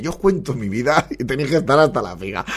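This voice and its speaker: A man talks at a very fast pace in an animated, bright, sharp tone, his pitch swinging very widely. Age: 40s. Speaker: podcast host. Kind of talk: casual comedic monologue. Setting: home studio at computer.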